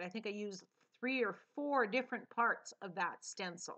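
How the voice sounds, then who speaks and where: The voice is loud, with a bright, sharp tone and very wide pitch swings. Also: woman. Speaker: mixed media artist, tutorial creator. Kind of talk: tutorial voiceover. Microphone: sound problems, volume may be too quiet.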